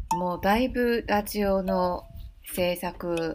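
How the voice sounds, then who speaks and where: A woman speaks with a fairly low pitch. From Taiwan, Taipei. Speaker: podcast host. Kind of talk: unscripted monologue. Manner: halting, many fillers.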